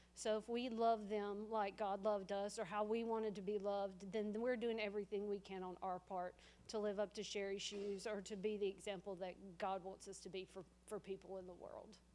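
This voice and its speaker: A woman's dark, mellow tone in a flat monotone, with a Southern US accent. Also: medium pitch for a woman, fairly quick pace. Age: 30s. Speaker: family friend. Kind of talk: eulogy sharing at memorial. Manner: loud.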